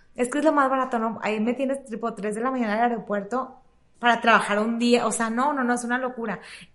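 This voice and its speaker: Her pitch is high and her intonation monotone and flat. This woman talks at a very fast pace. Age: 30s. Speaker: salon owner. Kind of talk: casual interview.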